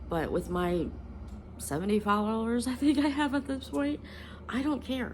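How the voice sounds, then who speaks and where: Lively intonation and vocal fry mark this woman's speech. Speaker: spiritual content creator. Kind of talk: casual vlog monologue. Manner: halting, many ums and self-corrections.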